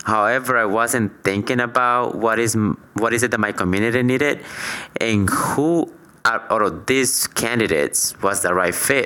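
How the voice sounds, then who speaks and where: A man with a Latin American accent speaks at a moderate pace in a medium pitch. His loudness stays very even, and his pitch varies in an ordinary way. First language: Spanish. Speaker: podcast co-host. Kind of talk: casual chat.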